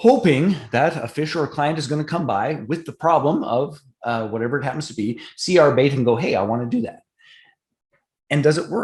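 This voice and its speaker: Somewhat breathy, a man with a Canadian accent speaks fairly quickly with lively intonation. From Canada. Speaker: partnership marketing expert. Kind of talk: online business training presentation.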